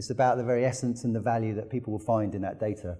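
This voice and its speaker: Here a man talks at a very fast pace with a British accent. His medium-pitched voice has a dark, mellow tone and sounds somewhat breathy. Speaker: technology company executive. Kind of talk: conference talk. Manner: halting.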